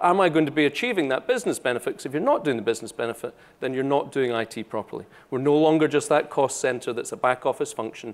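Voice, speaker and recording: With a Scottish accent, a man talks at a fairly high pitch and a very fast pace with lively intonation. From Scotland. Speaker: solution architect. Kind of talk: conference talk. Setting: stage with audience. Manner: casual, joking.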